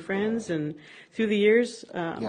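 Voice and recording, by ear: With a Minnesota accent, a woman speaks at a medium pitch.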